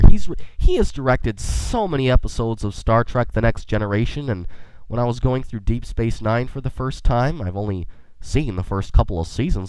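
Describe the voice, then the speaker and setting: A man with a medium pitch talks at a moderate pace, his intonation lively. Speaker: podcast host. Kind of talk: casual podcast talk. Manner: quirky, enthusiastic.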